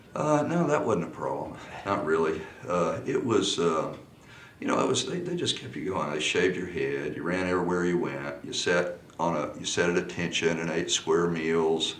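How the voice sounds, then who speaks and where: There is noticeable background noise and audible room echo. Through it, a man talks with an American accent. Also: moderate pace. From Texas. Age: 60s. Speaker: polo coach. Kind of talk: interview. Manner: halting.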